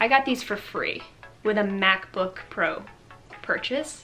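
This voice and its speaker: A woman with ordinary pitch variation over faint music in the background. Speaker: lifestyle vlogger. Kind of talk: casual vlog chat. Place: home room.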